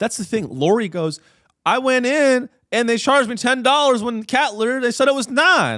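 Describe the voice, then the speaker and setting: Raised and projected, a man's extremely high voice moves at a moderate pace, animated in tone, bright and sharp, with ordinary pitch variation. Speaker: comedian and podcast host. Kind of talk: comedic podcast monologue.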